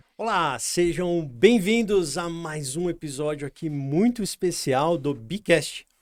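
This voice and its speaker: A man with a high pitch and lively intonation speaks at a very slow pace with hardly any pauses. The recording is very clean, with a silent background. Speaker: podcast host and company founder. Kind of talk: interview host.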